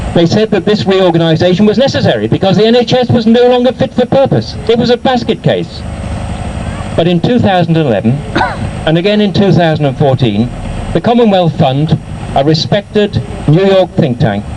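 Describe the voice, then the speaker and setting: A man speaks fairly quickly at a high pitch with very wide pitch swings and very even loudness. Noticeable background noise runs throughout. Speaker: professor and author. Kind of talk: political rally speech. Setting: outdoors. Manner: impassioned, rhetorical.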